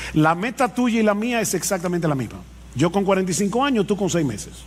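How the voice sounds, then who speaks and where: This man's voice is high-pitched. His pitch swings very widely. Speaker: pastor. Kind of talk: sermon.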